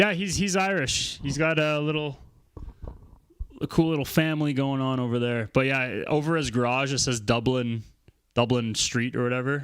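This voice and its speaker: This is a normal speaking voice with a Canadian accent. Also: man, medium pitch for a man, ordinary pitch variation, moderate pace. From Alberta, Canada. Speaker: electronic music live streamer. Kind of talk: casual livestream chat. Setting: home studio livestream.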